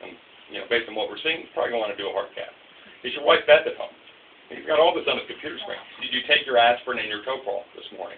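Someone speaks at a very fast pace with big swings in loudness, over light background noise. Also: man. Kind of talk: interview answer. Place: office. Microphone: camera far.

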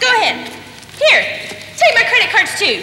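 A woman speaks at a moderate pace. Background noise is noticeable. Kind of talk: comic theatrical monologue. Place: stage. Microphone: camera far.

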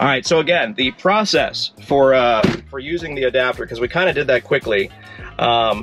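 Faint music plays in the background as the speech moves at a moderate pace with ordinary pitch variation. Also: man. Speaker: car vlogger. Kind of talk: tutorial. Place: car. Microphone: phone near.

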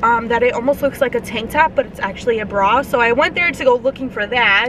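Over noticeable background noise, a woman speaks at a moderate pace in a high pitch, the sound dry with no echo. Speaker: YouTube vlogger; vlogger. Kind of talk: casual mukbang vlog. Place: car. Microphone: phone near.

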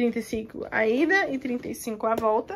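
In a São Paulo accent, the speaker shows ordinary pitch variation over light background noise. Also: woman. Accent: Brazilian Portuguese (São Paulo). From Brazil (São Paulo), moved to the US at 11. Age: 20s. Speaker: vlogger. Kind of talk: casual talk to camera. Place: home room. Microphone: phone near.

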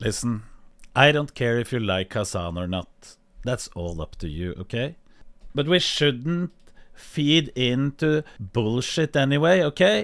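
Very wide pitch swings in a Norwegian accent, at a fairly slow pace over a quiet background. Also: man. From Norway. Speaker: streamer. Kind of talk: reaction stream commentary. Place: home room. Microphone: studio mic.

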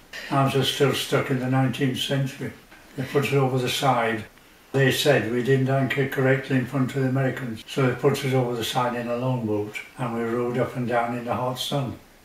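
A man's flat, monotone delivery at a fairly quick pace, with light background noise and audible room echo. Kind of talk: interview answer. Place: home room.

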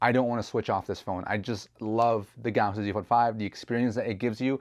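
A man races along at a very fast pace in a monotone, flat intonation over a quiet background. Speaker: tech reviewer. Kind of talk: product review talk. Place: home room. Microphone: lapel.

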